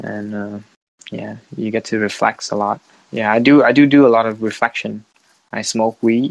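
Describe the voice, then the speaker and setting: A man with a Vietnamese accent speaks at a moderate pace and medium pitch, his intonation fairly even but his loudness swinging a lot. The sound is dry and close with no echo, over a quiet background. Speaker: podcast host and international student. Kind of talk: casual chat. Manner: halting.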